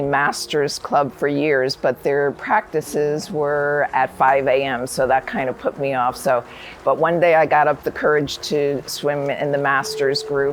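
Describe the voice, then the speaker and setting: A woman with an American accent has a very deep, low pitch and ordinary pitch variation. She speaks at a fairly slow pace over noticeable background noise. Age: 60s. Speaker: retired nurse and masters swimmer. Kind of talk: interview testimony.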